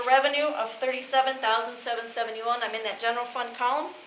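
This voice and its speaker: A woman's raised, projected voice amid audible room echo and noticeable background noise. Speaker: auditor. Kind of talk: financial report presentation. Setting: school board meeting. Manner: fast.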